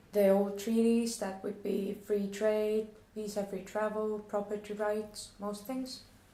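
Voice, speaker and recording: A woman with a non-native accent and a fairly high pitch, flat and monotone at a fairly slow pace, over noticeable background noise. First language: not English. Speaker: questioner. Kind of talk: reading questions aloud.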